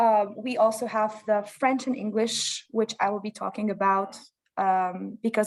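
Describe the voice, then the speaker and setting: Speaking at a moderate pace, a woman with a Lebanese accent keeps a flat, monotone intonation in a fairly high pitch. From Lebanon. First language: Lebanese Arabic. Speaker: parent of a bilingual child. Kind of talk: interview.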